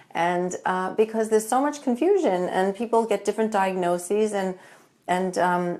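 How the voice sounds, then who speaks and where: A woman with a New York accent speaks at a medium pitch and moderate pace, using ordinary pitch variation, in a very clean recording with a silent background. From New York, Long Island. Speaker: functional medicine doctor. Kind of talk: live-stream talk. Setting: Facebook live video.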